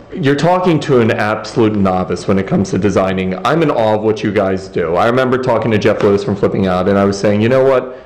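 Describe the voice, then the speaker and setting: A man with a fairly low pitch and lively intonation talks at a very fast pace with very even loudness and hardly any pauses, amid noticeable background noise and audible room echo. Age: 30s. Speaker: interviewer. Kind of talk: interview.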